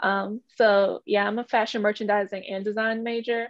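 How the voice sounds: A woman with an American accent speaks at a medium pitch in a fairly bright tone, her intonation fairly even, in a dry, close sound with no echo.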